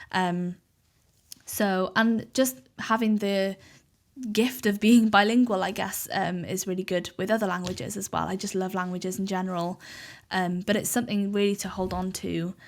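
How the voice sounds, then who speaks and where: The speaker has a Welsh accent and fairly even intonation at a moderate pace. It is a very clean recording with a silent background. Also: woman, medium pitch for a woman. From Wales, Cardiff. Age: 20s. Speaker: podcaster and social media journalist. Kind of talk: casual interview chat.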